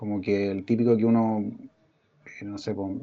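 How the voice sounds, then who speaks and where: Dark and mellow in tone, a man's voice comes through. He speaks in a Chilean accent. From Chile, Valparaíso region. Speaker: illustrator and author. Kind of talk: casual chat.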